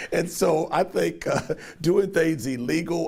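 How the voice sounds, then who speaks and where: A man with an American accent speaks at a moderate pace, his voice showing vocal fry and his intonation lively. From Cincinnati, Ohio. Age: 60s. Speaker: political candidate. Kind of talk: interview. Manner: hesitant fillers.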